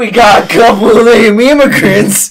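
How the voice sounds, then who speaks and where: A man performs a put-on character voice at an extremely high pitch. His pace is moderate. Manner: goofy, mocking.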